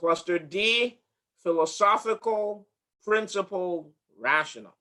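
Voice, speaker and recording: A man's high, bright, sharp voice, raised and projected, at a very slow pace. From from another country, not US-born. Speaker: HR director leading a workshop. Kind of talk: interactive workshop presentation. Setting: video call with screen share.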